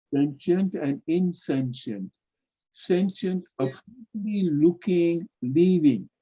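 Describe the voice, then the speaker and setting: Dark and mellow in tone yet high-pitched, a man's voice moves at a very slow pace with ordinary pitch variation. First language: not English. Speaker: spiritual teacher. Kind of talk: lecture.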